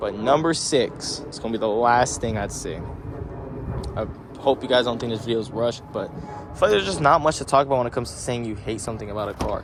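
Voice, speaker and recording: Over noticeable background noise, a man speaks very fast at a medium pitch with ordinary pitch variation. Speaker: car enthusiast vlogger. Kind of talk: casual vlog rant.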